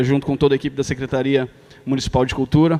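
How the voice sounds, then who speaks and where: The speaker is a man with a fairly high pitch. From Brazil, São Paulo. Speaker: foundation president. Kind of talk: ceremonial speech. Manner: hesitant, many fillers.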